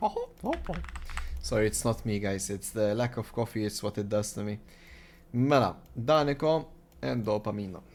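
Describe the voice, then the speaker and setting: A man speaks at a moderate pace in a fairly low voice, with long, frequent pauses. Noticeable background noise runs underneath. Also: lively intonation. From Malta. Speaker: esports tournament caster. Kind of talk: live commentary. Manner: animated.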